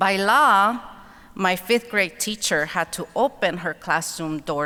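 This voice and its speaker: With a Spanish accent, a woman of medium pitch speaks very slowly in a bright, sharp tone and lively intonation. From Mexico (Guerrero), then Los Angeles from childhood. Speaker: author and keynote speaker. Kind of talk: keynote speech. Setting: convention center stage with audience.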